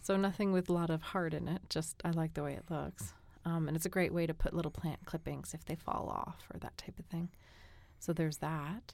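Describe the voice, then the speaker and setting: A woman with an American accent speaks fairly quickly at a fairly low pitch with fairly even intonation. She has a normal speaking voice. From New England, Boston. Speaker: guest co-host. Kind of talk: casual chat. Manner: relaxed, sleepy-paced.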